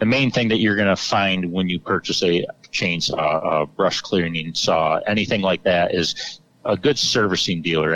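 Very deep, low pitch from a man with an American accent and fairly even intonation, over noticeable background noise. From Central New York. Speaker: hardware store owner and equipment mechanic. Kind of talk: casual interview.

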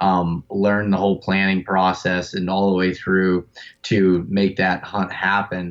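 A man with an American accent speaks at a very deep, low pitch, fairly slowly, in a monotone, flat delivery. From North Central Pennsylvania. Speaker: elk hunter. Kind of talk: casual interview. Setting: phone call.

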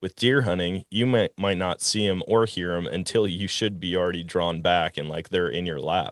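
In an American accent, a man with a very deep, low pitch speaks at a moderate pace with ordinary pitch variation and hardly any pauses. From Wisconsin. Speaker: outdoors podcast host. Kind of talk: casual interview chat. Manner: animated.

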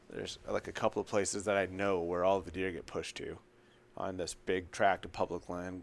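A man with a very deep, low pitch speaks fairly quickly in a flat monotone on a very clean recording with a silent background. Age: 30s. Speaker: hunting app company owner. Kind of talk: casual chat. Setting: hunting camp.

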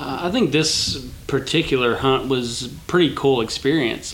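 There is noticeable background noise. Through it, a man is speaking. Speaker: hunter, host's brother-in-law. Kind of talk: casual chat.

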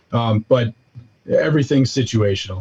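A man does the talking. There is some breathiness in his voice. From US Midwest, south side of Milwaukee, Wisconsin. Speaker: custom turkey call maker. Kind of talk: casual interview.

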